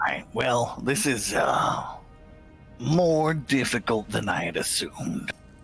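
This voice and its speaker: Over clear background music, a man in a put-on character voice speaks raspily at a medium pitch and a fairly slow pace, with long, frequent pauses. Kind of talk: comic overacting. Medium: actual play. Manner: profane, contemptuous.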